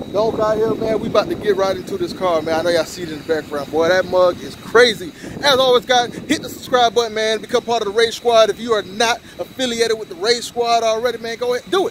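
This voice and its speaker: A man talks at a very fast pace with hardly any pauses, his pitch high and its variation ordinary. The sound is dry with no echo, over light background noise. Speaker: car vlogger. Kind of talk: casual vlog chat. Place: street. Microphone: phone near.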